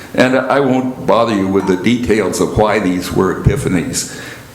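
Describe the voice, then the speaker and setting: A man speaks in a fairly low pitch, with audible room echo and noticeable background noise around him. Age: 80s+. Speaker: lay speaker. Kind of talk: sermon. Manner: halting.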